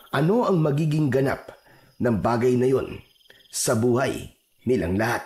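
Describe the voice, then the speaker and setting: At medium pitch and a fairly slow pace, a man speaks somewhat breathily with ordinary pitch variation. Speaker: voiceover narrator. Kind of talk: horror story narration.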